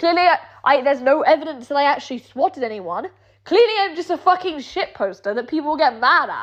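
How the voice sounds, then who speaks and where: A woman with a British accent speaks at a moderate pace in an animated tone, her pitch swinging very widely over a quiet background. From England. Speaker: streamer. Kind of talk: rant.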